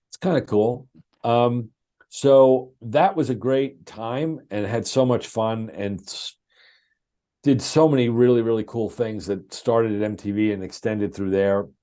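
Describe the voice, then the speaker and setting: Against a quiet background, a man with a dark, mellow tone speaks at a fairly slow pace in a medium pitch with ordinary pitch variation. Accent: New York. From US Northeast, Long Island. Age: 60s. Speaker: television producer. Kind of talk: interview storytelling.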